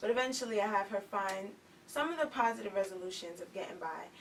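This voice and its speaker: A woman at medium pitch talks at a fairly quick pace with ordinary pitch variation, with noticeable background noise behind her. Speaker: author and youth activist. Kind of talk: talk show interview. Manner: soft-spoken.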